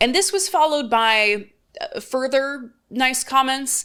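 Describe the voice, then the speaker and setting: Her pitch varies in an ordinary way as this woman talks. The recording is very clean against a silent background. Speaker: political commentator. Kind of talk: commentary reading viewer comments. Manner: sing-songy, rising at ends of words.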